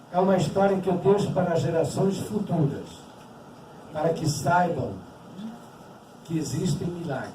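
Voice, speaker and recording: Audible room echo follows a high-pitched man speaking at a moderate pace. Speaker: Holocaust survivor speaker. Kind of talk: testimony talk.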